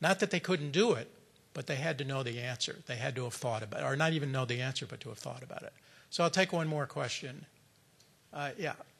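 Here a man talks at a very fast pace. His fairly high voice carries lively intonation. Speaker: documentary filmmaker; conference keynote speaker. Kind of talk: conference keynote speech. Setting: stage with audience. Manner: informal, unscripted. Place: hall. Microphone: podium.

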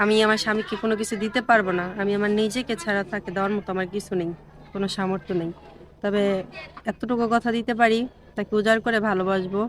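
A woman's intonation stays monotone and flat while noticeable background noise runs beneath it. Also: medium pitch for a woman. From Bangladesh, Bikrampur (Munshiganj). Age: 20s. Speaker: marriage seeker. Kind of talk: on-camera interview.

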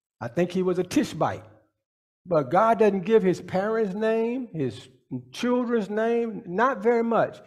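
The background is quiet while a man speaks. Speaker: pastor. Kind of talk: sermon. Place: church. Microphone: handheld.

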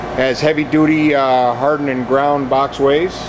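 Noticeable background noise can be heard. The talking goes at a fairly slow pace. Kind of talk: product walkaround description. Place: factory. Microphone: phone near.

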